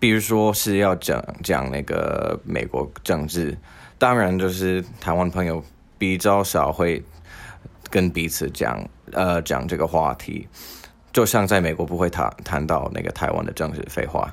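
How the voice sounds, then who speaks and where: A man with a non-native accent speaks slowly-ish, at a fairly slow pace, with a very deep, low pitch, vocal fry and ordinary pitch variation. The recording is very clean, with a silent background. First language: not Mandarin (speaking Chinese). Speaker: podcast host. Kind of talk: solo monologue.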